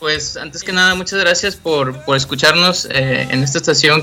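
The voice moves at a moderate pace with fairly even intonation over noticeable background noise. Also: man. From Mexico, Monterrey. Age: 20s. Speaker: rock musician. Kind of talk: interview. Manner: halting.

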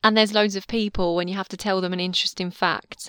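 A woman with a British accent at a very fast pace, fairly even in intonation, with a dry, close sound and no echo. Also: very clean recording, silent background. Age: 20s. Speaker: podcast host. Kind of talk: casual chat. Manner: chatty, rambling.

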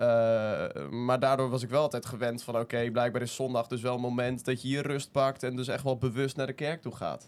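A man's medium-pitched, flat monotone at a fairly quick pace, with hardly any pauses and noticeable background noise. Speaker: youth media editor. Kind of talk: casual chat.

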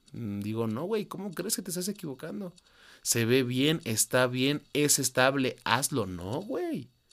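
This man has a medium pitch and very wide pitch swings, speaking at a fairly slow pace. The recording is very clean, with a silent background. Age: 20s. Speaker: podcaster. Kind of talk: personal monologue.

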